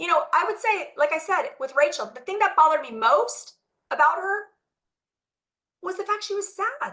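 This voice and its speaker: An animated woman speaks in a raised, projected voice, bright and sharp in tone, with big swings in loudness. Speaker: physician. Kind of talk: lecture.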